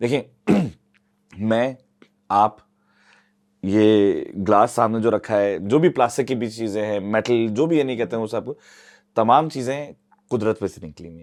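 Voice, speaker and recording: Speaking at a medium pitch with a Karachi accent, a man leaves long, frequent pauses and swings widely in loudness, on a very clean recording with a silent background. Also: ordinary pitch variation. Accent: Urdu-speaking Karachi. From Karachi, Pakistan. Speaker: climate activist. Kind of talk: podcast interview. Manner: code-switching Urdu and English; hesitant, filler-heavy.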